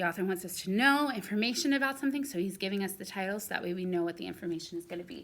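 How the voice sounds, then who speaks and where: Very fast speech from a woman, medium in pitch and with ordinary pitch variation. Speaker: second-grade teacher. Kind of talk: recorded lesson for young pupils. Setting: recorded video lesson.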